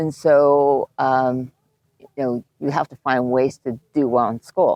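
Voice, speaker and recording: A woman's very deep, low voice with a Japanese accent and a dark, mellow tone, very slow and fairly even, in a dry, close sound with no echo. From Japan, moved to the US at age eight. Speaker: animation film producer. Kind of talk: casual interview.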